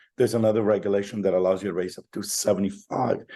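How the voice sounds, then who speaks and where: A man with a Spanish accent speaks in a fairly low pitch with a dark, mellow tone against a quiet background. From Chile, raised in Canada. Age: 60s. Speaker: fintech entrepreneur. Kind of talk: interview.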